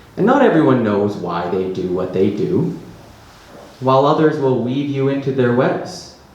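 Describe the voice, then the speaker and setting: A medium-pitched man at a moderate pace, with very wide pitch swings and noticeable background noise. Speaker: poet. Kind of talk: live poetry reading.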